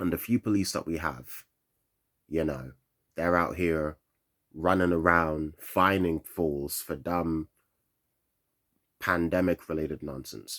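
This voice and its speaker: A man with a London accent speaks slowly at a very deep, low pitch, with fairly even intonation, long, frequent pauses and a dry, close sound with no echo. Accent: London English, Nigerian heritage. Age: 20s. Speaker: vlogger. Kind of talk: rant. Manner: monotone; halting.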